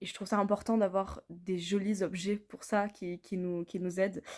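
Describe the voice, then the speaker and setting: A woman speaks at a medium pitch and a moderate pace, her intonation flat and monotone. The recording is very clean, with a silent background. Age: 20s. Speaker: customer giving product testimonial. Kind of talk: testimonial. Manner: hesitant, many fillers.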